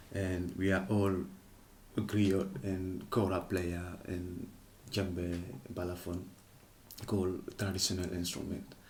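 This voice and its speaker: A man's very deep, low, somewhat breathy voice, monotone and flat, at a very slow pace with long, frequent pauses and audible room echo. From Senegal, Casamance. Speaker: kora player and griot musician. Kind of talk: interview. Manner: hesitant, non-native phrasing.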